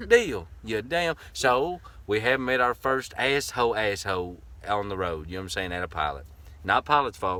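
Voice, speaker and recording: Speaking at a moderate pace, a man with a fairly low pitch and a bright, sharp tone makes very wide pitch swings. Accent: Southern US. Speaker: vanlife vlogger. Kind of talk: casual chat. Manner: animated.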